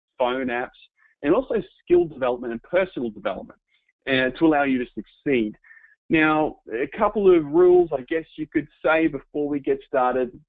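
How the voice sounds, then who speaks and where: Speaking with an Australian accent, a man uses a fairly high pitch and ordinary pitch variation at a moderate pace. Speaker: home business entrepreneur, webinar presenter. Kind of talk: webinar presentation. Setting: online webinar.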